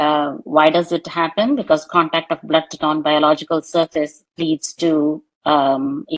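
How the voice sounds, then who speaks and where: A woman with a fairly low pitch speaks in a dry, close sound with no echo. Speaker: doctor lecturing on ECMO. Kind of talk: lecture. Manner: hesitant, many fillers.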